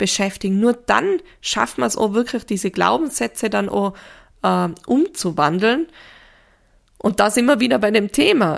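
A woman talks at a moderate pace, captured on a very clean recording with a silent background. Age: 30s. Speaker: grief counsellor and podcast host. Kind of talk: solo podcast talk.

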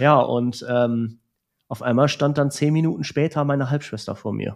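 This is a man using a normal speaking voice. He talks at a medium pitch, and his pitch varies in an ordinary way. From Romania (Transylvania), raised in Germany. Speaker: music school director. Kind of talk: personal testimony in conversation.

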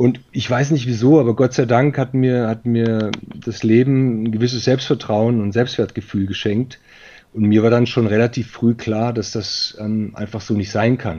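Dark, mellow tone at a moderate pace with fairly even intonation. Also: man, medium pitch for a man. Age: 40s. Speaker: managing director of a recruitment firm. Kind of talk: interview. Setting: virtual studio.

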